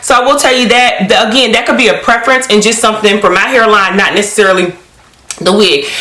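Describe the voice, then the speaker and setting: Against noticeable background noise, a woman with a fairly high pitch talks at a very fast pace. Her tone is animated and her pitch varies in an ordinary way. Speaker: wig review beauty youtuber. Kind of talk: product review vlog.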